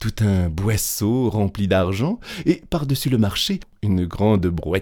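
Lively intonation in plain reading aloud

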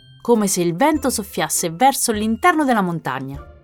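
What we hear is plain reading aloud.

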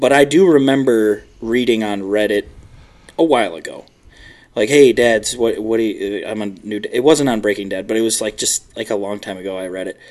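At a moderate pace, a man with an American accent and an ordinary speaking voice talks at a fairly low pitch with ordinary pitch variation. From US Midwest, Chicago. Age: 20s. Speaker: new father. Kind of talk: casual chat.

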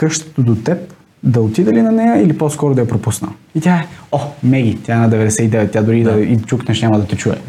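A man talks at a fairly quick pace in a plain, everyday voice. His pitch varies in an ordinary way, and his loudness stays very even. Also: medium pitch for a man. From Bulgaria, Sofia. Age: 20s. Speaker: door-to-door salesman. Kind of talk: interview.

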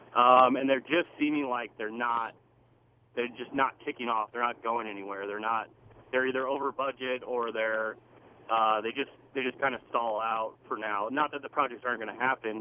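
Here is a man with a plain, everyday voice at medium pitch. He keeps a moderate pace and fairly even intonation. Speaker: caller; commercial construction worker. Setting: phone call.

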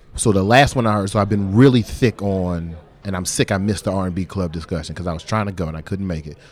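A man with a very deep, low voice talks very fast in an animated tone. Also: ordinary pitch variation. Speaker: podcaster. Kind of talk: casual interview. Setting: pop-up podcast at a creative office.

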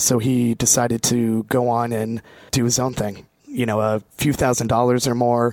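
A man with an American accent speaks at a fairly slow pace. His intonation is flat and monotone. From Vermont, US. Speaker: brand representative for a beer and spirits company. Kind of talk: casual chat, live interview. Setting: co-working space, live broadcast.

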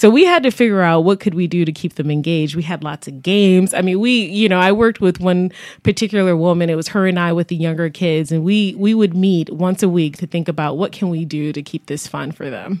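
On a very clean recording with a silent background, a woman with an ordinary speaking voice talks at a fairly quick pace and fairly low pitch, with ordinary pitch variation and hardly any pauses. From Buffalo, New York. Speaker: health foundation executive. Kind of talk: radio interview. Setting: studio.

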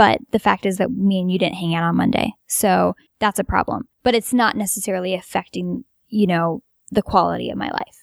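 Speaking at a fairly quick pace, a woman with vocal fry keeps a medium pitch and ordinary pitch variation. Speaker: lucid dreamer. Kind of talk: casual chat. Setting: home basement.

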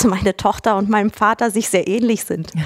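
The sound is dry and close, with no echo. A woman speaks with monotone, flat intonation. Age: 30s. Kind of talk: interview. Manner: halting, many fillers.

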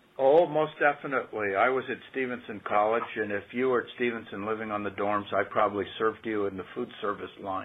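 An American-accented man with an ordinary speaking voice, medium pitch and ordinary pitch variation, at a fairly quick pace. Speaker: state official, former legislator. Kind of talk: radio interview. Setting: radio studio.

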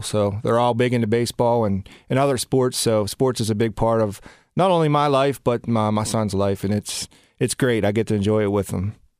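An unremarkable speaking voice from a man of medium pitch with an American accent, fairly quick, in a dry, close sound with no echo over a very clean, silent background. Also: very even loudness. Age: 40s. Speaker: bank executive. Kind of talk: interview.

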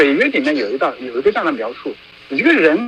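A man talking at a very fast pace, with very wide pitch swings and noticeable background noise. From China, Hunan (Qidong county). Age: 30s. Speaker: dissident activist, former journalist. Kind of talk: interview.

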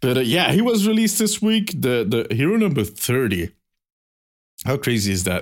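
With an animated tone and very wide pitch swings, a man with a Belgian accent speaks at a moderate pace and very even loudness. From Belgium. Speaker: podcast host. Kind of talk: casual chat.

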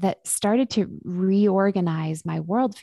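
Against a quiet background, a woman with a western Canadian accent speaks at a fairly low pitch with fairly even intonation, the sound dry and close with no echo. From Vancouver, western Canada. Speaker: psychologist and author. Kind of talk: interview.

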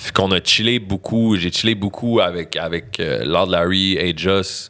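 Flat and monotone, a man talks with a very deep, low pitch. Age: 30s. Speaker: rapper. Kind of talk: casual chat.

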